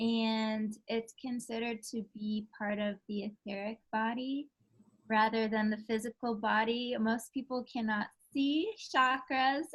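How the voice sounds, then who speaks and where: The voice is somewhat breathy and moves at a fairly slow pace. Its intonation stays fairly even. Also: woman, fairly high pitch for a woman. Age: 30s. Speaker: yoga and sound healing therapist. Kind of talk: interview.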